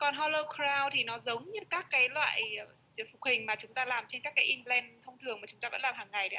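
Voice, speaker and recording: Loudness swings widely as the speaker races at a very fast pace with ordinary pitch variation. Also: woman, high pitch for a woman. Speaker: interpreter. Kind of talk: consecutive interpretation. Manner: too quiet. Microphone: mic issue, sounds too quiet.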